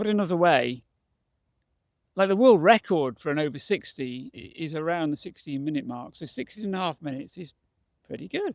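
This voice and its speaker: A man talks at a fairly quick pace in a high pitch. The recording is very clean and dry, close-miked with no echo and a silent background. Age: 60s. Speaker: retired barrister turned masters mountain runner. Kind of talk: casual vlog talk to camera.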